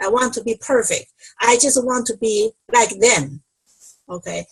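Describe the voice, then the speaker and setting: This is a woman speaking. Her pitch is high. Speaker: speech-language pathologist. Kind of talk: online panel discussion.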